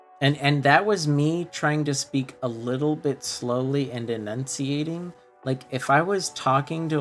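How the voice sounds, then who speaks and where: A man talks at a fairly slow pace with a fairly high pitch and ordinary pitch variation. Music plays in the background. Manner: slow, enunciating carefully.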